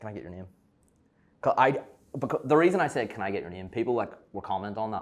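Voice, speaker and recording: Speaking very fast in a Belfast accent, a man with a fairly low pitch sounds animated on a very clean recording with a silent background. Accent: Belfast Northern Irish. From Northern Ireland, Belfast. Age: young. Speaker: content creator and online fitness coach. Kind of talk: casual chat.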